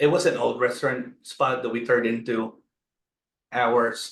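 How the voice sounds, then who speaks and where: A man with a Filipino accent, medium pitch and fairly even intonation. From Philippines. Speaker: restaurant owner. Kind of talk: interview.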